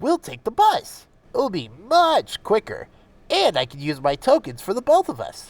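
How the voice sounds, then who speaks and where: Moderate pace in a put-on character voice. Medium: read story. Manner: cheeky, teasing.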